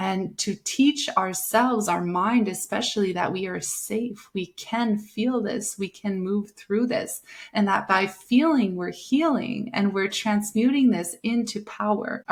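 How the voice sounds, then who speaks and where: A woman at medium pitch, fairly slow pace, ordinary pitch variation and hardly any pauses, with an ordinary speaking voice. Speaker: breathwork and meditation guide, podcast host. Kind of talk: casual personal talk to the audience. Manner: gentle, soothing, reflective.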